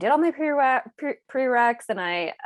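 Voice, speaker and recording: The background is quiet. A woman talks with lively intonation. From Israel, moved to US at eight. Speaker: therapist. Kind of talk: casual interview chat. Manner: halting, many restarts.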